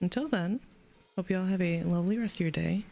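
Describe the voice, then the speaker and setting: A woman's voice with music in the background. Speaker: streamer. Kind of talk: live stream sign-off. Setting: live stream. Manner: casual, chatty.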